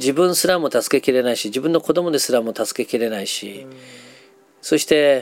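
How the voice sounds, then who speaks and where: Music plays in the background as a man speaks at a medium pitch. His pace is moderate, with ordinary pitch variation. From Japan, Nagasaki. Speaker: psychologist and counselor. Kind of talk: interview.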